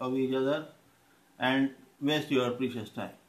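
With an Indian accent, a man speaks at a fairly high pitch in a monotone, flat intonation. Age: 40s. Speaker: YouTuber. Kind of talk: motivational talk. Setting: filmed by a friend. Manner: halting. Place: home room. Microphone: phone near.

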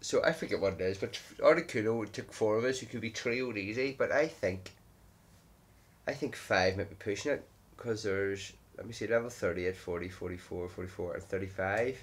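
A somewhat breathy man talks at a moderate pace. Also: ordinary pitch variation. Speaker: gaming vlogger. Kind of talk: casual gameplay commentary. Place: home room.

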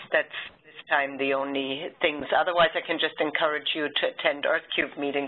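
Her voice is very deep and low for a woman, delivered at a moderate pace in a monotone, flat intonation. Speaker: geoscience data repository manager. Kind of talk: online project meeting. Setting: video call. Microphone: video call.

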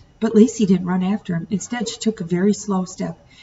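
Plain reading, done aloud

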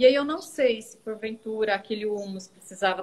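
Speaking at a moderate pace, a woman has an unremarkable speaking voice, fairly high in pitch with ordinary pitch variation. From Goiás, Brazil. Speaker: teacher and composting student; teacher. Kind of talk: live Q&A video chat. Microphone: video call.

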